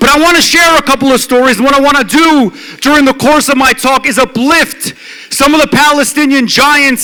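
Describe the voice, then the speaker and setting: Against noticeable background noise, a man speaks in a raised, projected voice at a fairly quick pace. His pitch is extremely high and his tone is animated. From Detroit, US Midwest. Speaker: law professor. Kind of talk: speech. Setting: stage with audience. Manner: loud.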